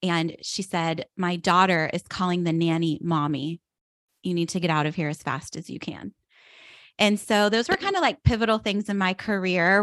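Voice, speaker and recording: With an American accent and a plain, everyday voice, a woman speaks at a moderate pace and medium pitch, her pitch varying in an ordinary way. The sound is dry and close with no echo, over a quiet background. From western Pennsylvania, outside Pittsburgh. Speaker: direct sales business leader. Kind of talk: casual interview chat.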